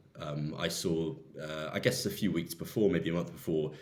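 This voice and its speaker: Moderate-paced speech from a man with a very deep, low pitch, plus audible room echo. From southwest England. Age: 20s. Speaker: volunteer aid worker. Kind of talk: interview.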